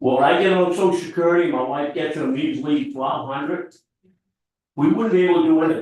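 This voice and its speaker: Intonation rises and falls in a lively way. The delivery is very fast. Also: man, high pitch for a man. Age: 70s. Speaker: resident making public comment. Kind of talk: public comment at town meeting. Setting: town board meeting.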